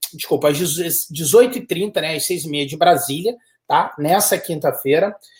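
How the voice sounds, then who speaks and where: Here a man speaks with a high pitch. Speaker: study abroad consultant. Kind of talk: live webinar chat. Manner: animated.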